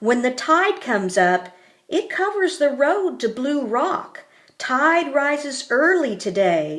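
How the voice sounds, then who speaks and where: Using a put-on character voice, a woman speaks fairly slowly in a high pitch that swings very widely. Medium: read story.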